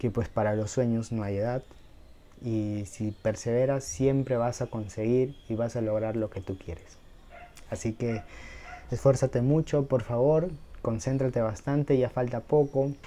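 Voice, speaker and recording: A man with a dark, mellow tone, ordinary pitch variation and a fairly slow pace. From Peru. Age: 20s. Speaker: YouTuber, medical student. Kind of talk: motivational talk to camera. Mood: warm, encouraging. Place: home room. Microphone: lapel.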